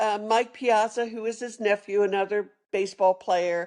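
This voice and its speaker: A woman speaks with a Philadelphia accent at a fairly high pitch. The background is quiet. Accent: Philadelphia-area American English. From Philadelphia area, Pennsylvania (Norristown). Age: 70s. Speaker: retired sommelier and storyteller. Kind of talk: interview storytelling. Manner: hesitant with fillers and self-corrections.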